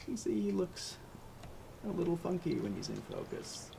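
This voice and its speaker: A man speaks quietly. His pace is moderate. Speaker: birding livestream host. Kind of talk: live nature commentary. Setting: home livestream, camera out a window. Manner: a little quiet.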